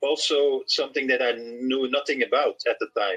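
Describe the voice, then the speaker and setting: A man talks at a moderate pace with a Dutch accent. The sound is dry and close with no echo, with music in the background. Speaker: author and reggae journalist. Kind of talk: interview. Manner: halting, many repeated words.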